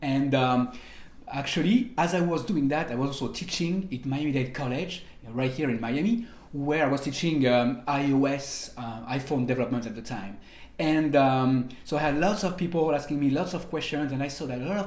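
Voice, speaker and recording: With a French accent, a man speaks at a moderate pace in a fairly high pitch, his pitch varying in an ordinary way amid audible room echo. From France, French Riviera; France. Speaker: programming instructor; online course instructor. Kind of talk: online course tutorial. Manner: hesitant, many fillers. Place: home room.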